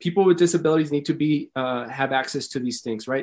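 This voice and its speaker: Male speech over a quiet background. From El Paso, Texas (Lower Valley). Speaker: mayoral candidate. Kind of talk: campaign interview. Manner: animated.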